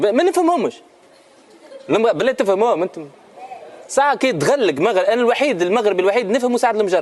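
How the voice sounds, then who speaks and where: A high-pitched man speaks at a fairly quick pace with very wide pitch swings and very even loudness, broken by long, frequent pauses. Noticeable background noise is present. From Tunisia. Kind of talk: casual interview answer. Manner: humorous.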